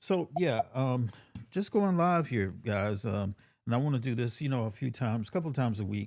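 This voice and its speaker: In a very clean recording with a silent background, a man with a Southern US accent speaks at a moderate pace with a medium pitch and lively intonation. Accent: Southern US country. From US South, Georgia. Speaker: tech content creator. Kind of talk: live-stream tutorial. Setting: home studio. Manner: casual, with fillers and restarts.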